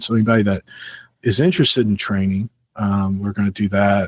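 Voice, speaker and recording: In a St. Louis accent, a man with fairly low pitch talks at a fairly quick pace, with a dry, close sound with no echo and a very clean recording with a silent background. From St. Louis, Missouri, US Midwest. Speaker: security conference organizer. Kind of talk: podcast interview. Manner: casual, with many fillers.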